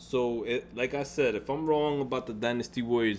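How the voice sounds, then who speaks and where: A man speaking at a moderate pace. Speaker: gaming YouTuber. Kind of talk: vlog rant. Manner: halting, repetitive.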